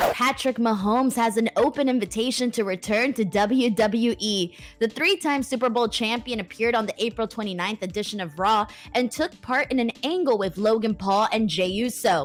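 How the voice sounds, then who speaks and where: This is an ordinary speaking voice from a woman with a fairly high pitch. She keeps a moderate pace and ordinary pitch variation. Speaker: wrestling news host. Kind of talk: news read.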